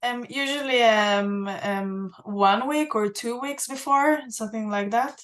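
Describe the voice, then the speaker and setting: Speaking at a fairly slow pace with hardly any pauses, a woman uses a fairly high pitch and ordinary pitch variation. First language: Hebrew. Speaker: museum access and inclusion head, archaeologist. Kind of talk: Q&A on a virtual guided tour. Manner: halting, many fillers.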